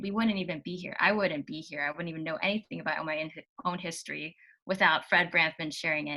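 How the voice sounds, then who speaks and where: A woman speaks in a bright, sharp tone with an American accent and ordinary pitch variation. The recording is very clean, with a silent background. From US, Virginia. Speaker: guest speaker on a social cause. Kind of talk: conversational interview. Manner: many fillers and restarts.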